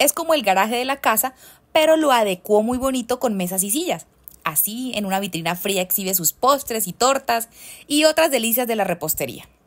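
Playful and animated, a woman speaks at a fairly quick pace in a fairly high pitch with very wide pitch swings, on a very clean recording with a silent background. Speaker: storyteller. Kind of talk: bedtime-style storytelling, a cozy narrated anecdote. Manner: playful and animated, with laughter and teasing diminutives.

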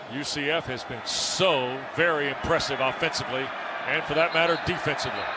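A man keeps a moderate pace and fairly even intonation at a fairly high pitch, with noticeable background noise behind him. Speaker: play-by-play commentator. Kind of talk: live sports commentary. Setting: broadcast booth with game audio.

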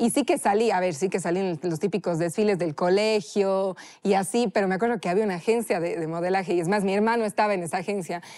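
A woman with a strong Cuenca Ecuadorian accent talks at a very fast pace, with hardly any pauses. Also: medium pitch for a woman, ordinary pitch variation, very clean recording, silent background. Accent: Cuenca accent, still strong. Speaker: chef. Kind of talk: casual interview.

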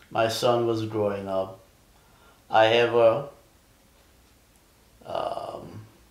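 A man at a very slow pace, monotone and flat, with long, frequent pauses and audible room echo. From Jamaica. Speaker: Vietnam war veteran. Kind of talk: interview answer. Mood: calm, reflective. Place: home room.

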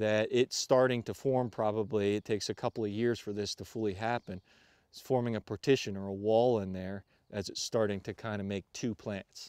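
This man has a plain, everyday voice with a fairly low pitch and fairly even intonation, speaking at a fairly quick pace. The sound is dry with no echo over a quiet background. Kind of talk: interview explanation. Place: forest. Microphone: lapel.

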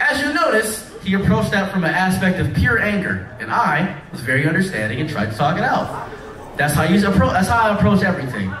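In an American accent, a man speaks at a fairly quick pace with a high, fairly bright voice and big pitch swings, with audible room echo around him.

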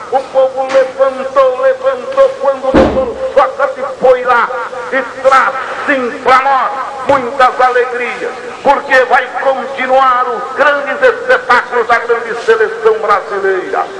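A man uses a raised, projected voice at an extremely high pitch. He talks very slowly with fairly even intonation over noticeable background noise. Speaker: rodeo announcer. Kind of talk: rodeo arena announcing to a crowd. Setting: PA system in a rodeo arena. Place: stadium. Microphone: pa.

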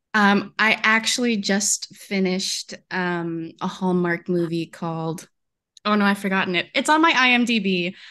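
The voice has a bright, sharp tone and ordinary pitch variation at a fairly slow pace. The background is quiet. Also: woman, medium pitch for a woman. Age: 20s. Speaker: romance author and actress. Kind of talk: panel interview.

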